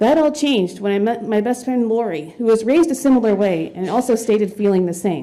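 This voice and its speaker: Speaking in a normal speaking voice with an American accent, a woman uses a fairly high pitch, ordinary pitch variation and a fairly quick pace. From US South. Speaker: public commenter, educator. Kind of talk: prepared public comment. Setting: school board meeting podium.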